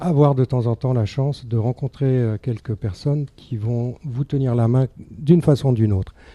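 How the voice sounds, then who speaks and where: The somewhat breathy voice moves at a moderate pace with ordinary pitch variation, sounding dry and close with no echo on a very clean recording with a silent background. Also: man. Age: 70s. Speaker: charity volunteer. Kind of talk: radio interview.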